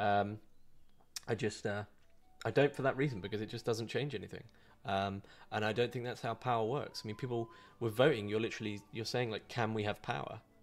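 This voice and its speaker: A man's medium-pitched voice in an English accent, fairly quick with long, frequent pauses and fairly even intonation, in a very clean recording with a silent background. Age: 20s. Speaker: online philosophy content creator. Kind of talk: live Q&A stream. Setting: live video stream. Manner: casual, hesitant with fillers.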